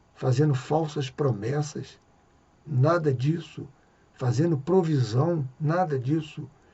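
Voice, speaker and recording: The speaker goes at a very slow pace with ordinary pitch variation. The voice is somewhat breathy. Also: man. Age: 60s. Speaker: evangelical preacher. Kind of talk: religious reflection monologue.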